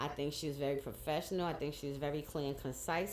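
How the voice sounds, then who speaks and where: Audible room echo around a woman's very deep, low-pitched voice. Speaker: cancer patient vlogger. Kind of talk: casual vlog monologue.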